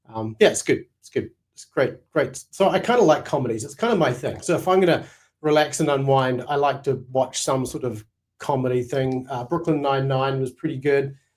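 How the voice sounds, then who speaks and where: Talking at a fairly quick pace with a New Zealand accent, a man uses a fairly high pitch with ordinary variation and big swings in loudness. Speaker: Bible scholar and teacher. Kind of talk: casual chat.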